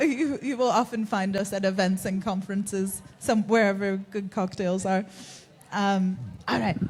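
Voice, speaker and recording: A woman with an American accent speaks at a moderate pace and a medium pitch. Her voice is somewhat breathy, with ordinary pitch variation. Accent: American, despite being a Kiwi. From US Northeast (Connecticut). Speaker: fantasy author. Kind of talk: live panel conversation. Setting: stage with audience.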